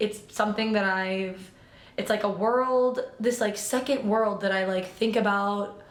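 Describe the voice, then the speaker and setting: A woman with an American accent speaks at a fairly slow pace with fairly even intonation. Noticeable background noise can be heard. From US Midwest, Illinois. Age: 20s. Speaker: vlogger. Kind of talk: casual chat. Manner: rambling casual with fillers.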